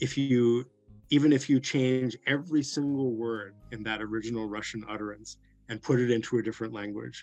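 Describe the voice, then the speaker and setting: Music plays behind a man talking at a fairly quick pace in a medium pitch. His intonation stays fairly even while his loudness swings a lot. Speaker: translator. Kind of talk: interview conversation. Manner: halting.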